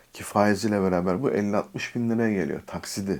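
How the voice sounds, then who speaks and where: A man with a fairly low pitch and ordinary pitch variation is captured in a very clean recording against a silent background. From Turkey, Istanbul. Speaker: YouTuber. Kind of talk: storytelling vlog. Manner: casual, with filler hesitations.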